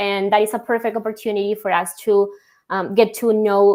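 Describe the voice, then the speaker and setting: A woman with a Spanish accent speaks at a medium pitch on a very clean recording with a silent background. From Colombia. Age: young. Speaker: logistics software executive. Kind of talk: podcast interview.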